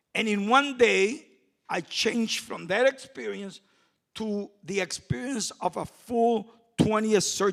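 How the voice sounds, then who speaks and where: A man with a Puerto Rican accent and a high pitch speaks at a very slow pace with lively intonation. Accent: Puerto Rican-Chicago English. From Puerto Rico, raised in Chicago. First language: Spanish. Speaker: community activist. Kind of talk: panel talk. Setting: stage with audience.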